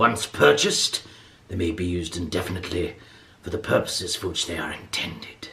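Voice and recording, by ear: The man's voice is raspy. He is doing a put-on character voice.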